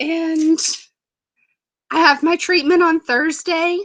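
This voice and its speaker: Speaking very slowly, a woman uses a high-pitched, raised, projected voice with a bright, sharp tone. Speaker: group leader, wellness coach. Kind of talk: online group call, casual talk. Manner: careful enunciation.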